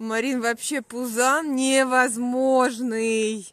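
In a dry recording with no echo, a woman speaks at a high pitch. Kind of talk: casual live-stream chat. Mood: warm, affectionate, amused. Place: open country. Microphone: phone near.

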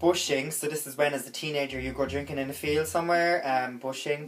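There is light background noise as a man speaks at a fairly quick pace. He has a strong Cork accent. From Cork, Ireland. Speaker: vlogger. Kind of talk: casual comedy tutorial to camera. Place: home room. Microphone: phone near.

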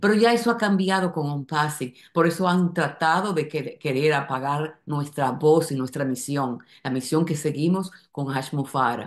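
A woman speaks with a very deep, low pitch and ordinary pitch variation. She keeps a fairly slow pace against a quiet background. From Dominican Republic. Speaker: company member. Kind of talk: testimonial video address. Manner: halting, many fillers and repetitions. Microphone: webcam.

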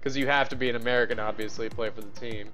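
A man speaks as faint music plays in the background. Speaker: game streamer. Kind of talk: casual stream chat. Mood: relaxed, chatty. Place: home room. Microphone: headset.

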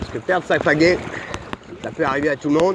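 Amid noticeable background noise, a man speaks at a very fast pace in a fairly high pitch with fairly even intonation, the sound dry with no echo. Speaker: vlogger. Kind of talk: casual vlog narration. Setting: outdoors, on a river in a kayak. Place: boat. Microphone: phone near.

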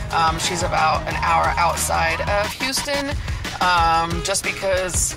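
Clear music plays behind a woman's voice. The sound is dry, with no echo. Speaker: road trip vlogger. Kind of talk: casual vlog chat. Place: car. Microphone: phone near.

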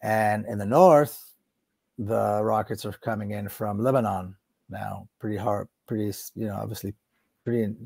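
With long, frequent pauses, a man of fairly low pitch and a dark, mellow tone speaks at a moderate pace. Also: quiet background. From Israel, Jerusalem; Israel. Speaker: political activist and author; interview guest. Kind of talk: interview. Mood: serious, intense. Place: home room. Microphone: earbuds.

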